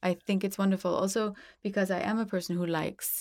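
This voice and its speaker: The recording is very clean, the background silent. A woman with a plain, everyday voice speaks fairly quickly at a fairly low pitch with fairly even intonation. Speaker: podcast host. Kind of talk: interview.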